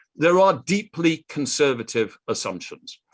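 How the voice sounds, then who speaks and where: A man with a British accent at a fairly slow pace, against a quiet background. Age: 60s. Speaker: economist and conference speaker. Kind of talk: conference presentation.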